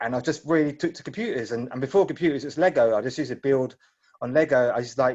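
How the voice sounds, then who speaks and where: With a British accent, a man speaks at a very fast pace, his fairly high voice showing ordinary pitch variation. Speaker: tech startup founder. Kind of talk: Q&A session. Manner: halting.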